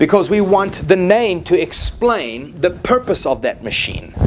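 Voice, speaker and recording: A man talks with a South African accent. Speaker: preacher. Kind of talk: sermon.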